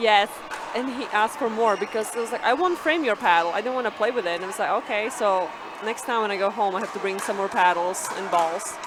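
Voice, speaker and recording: Over noticeable background noise and audible room echo, a woman with a Slovak accent speaks at a very fast pace in a fairly high pitch with ordinary pitch variation. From Slovakia. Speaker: pickleball player. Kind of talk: casual interview during live commentary.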